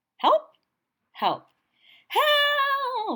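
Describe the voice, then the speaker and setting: This is a put-on character voice, squeaky and pitched extremely high. The speaker is shouting. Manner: yelling, urgent.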